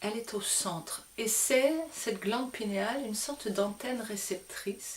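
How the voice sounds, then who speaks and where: A woman with a fairly high pitch talks at a fairly slow pace with hardly any pauses. Noticeable background noise can be heard. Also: ordinary pitch variation. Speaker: spiritual teacher. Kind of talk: spiritual talk to camera. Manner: hesitant fillers.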